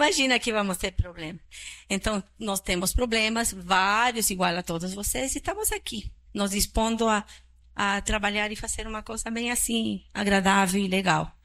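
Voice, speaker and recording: A woman with a Chilean accent speaks at a medium pitch in a bright, sharp tone, her pitch varying in an ordinary way on a very clean recording with a silent background. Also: moderate pace. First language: Spanish (speaking Portuguese). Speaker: psychiatrist. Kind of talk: public talk.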